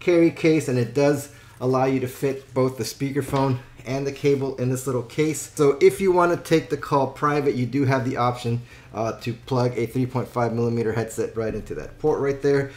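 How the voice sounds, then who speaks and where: A man talks with fairly level intonation, keeping a moderate pace. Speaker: product reviewer. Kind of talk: product review tutorial. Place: home room.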